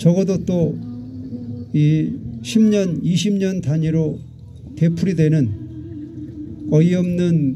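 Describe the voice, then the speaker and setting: Noticeable background noise and audible room echo surround a man talking very slowly. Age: 60s. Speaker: calligrapher and activist. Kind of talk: public speech at memorial rally. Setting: outdoor candlelight vigil.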